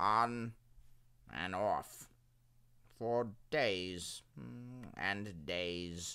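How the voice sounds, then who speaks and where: Putting on a character voice, a man speaks at a fairly low pitch and a very slow pace, with long, frequent pauses. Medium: read story. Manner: placid, unhurried.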